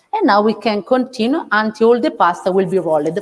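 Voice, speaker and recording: With an Italian accent, a woman speaks at a moderate pace in a fairly high pitch, her intonation lively. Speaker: Michelin-starred chef. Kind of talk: cooking demonstration. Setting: outdoors. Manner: halting.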